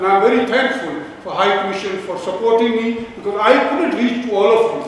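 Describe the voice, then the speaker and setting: A man speaks at a high pitch in a Pakistani accent, with ordinary pitch variation. Strong room echo and light background noise fill the recording. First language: Urdu or Punjabi. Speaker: event organizer and Labour councillor. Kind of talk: meeting host remarks. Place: hall. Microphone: camera far.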